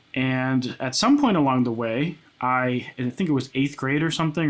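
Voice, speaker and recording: The pace is moderate and the pitch variation ordinary. It is a plain, everyday voice. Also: man. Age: 20s. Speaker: music producer and content creator. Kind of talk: casual chat. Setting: home studio. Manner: casual, many filler words.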